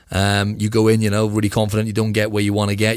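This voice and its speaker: A man, fairly low-pitched and monotone with flat intonation, at a very fast pace on a very clean recording with a silent background. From UK. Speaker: physique competitor. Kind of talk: interview conversation.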